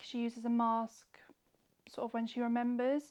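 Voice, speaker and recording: A woman speaks in a fairly high voice. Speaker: skincare professional giving a facial. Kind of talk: informative explanation to a client during a facial, ASMR video.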